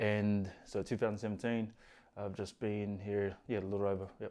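At a moderate pace, the voice has a dark, mellow tone and monotone, flat intonation on a very clean recording with a silent background. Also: man. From New Zealand, East Auckland. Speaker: carpenter sharing mental health and prison story. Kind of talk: personal testimony interview. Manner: soft-spoken.

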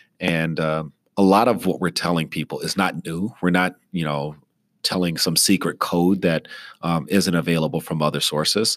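On a very clean recording with a silent background, a man speaks at a moderate pace. His pitch is very deep and low, with fairly even intonation. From East Texas (military family, moved around). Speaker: emergency physician and professor. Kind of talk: interview. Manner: frequent fillers (uh, um).

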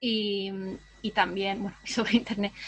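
A somewhat breathy woman's voice. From southern Spain. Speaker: writer and editor. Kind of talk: interview.

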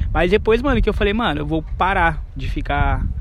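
The pace of speech is fairly quick. Noticeable background noise and audible room echo fill the recording. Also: man. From São Paulo, Brazil. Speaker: podcast host. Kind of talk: casual chat. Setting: outdoors.

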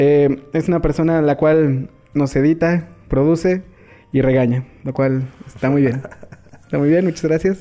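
The delivery runs at a fairly slow pace, broken by long, frequent pauses. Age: 20s. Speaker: podcast host. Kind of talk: casual chat.

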